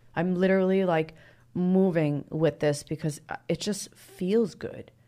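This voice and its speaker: Pitch variation from this woman is ordinary. The background is silent in a very clean recording. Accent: American. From New Jersey. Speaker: fitness model and yoga teacher. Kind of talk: casual chat; guided meditation. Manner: animated.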